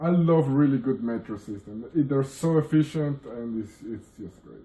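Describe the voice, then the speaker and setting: In a Spanish accent, a somewhat breathy voice moves at a moderate pace with ordinary pitch variation. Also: man, fairly high pitch for a man. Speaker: friend. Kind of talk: casual chat.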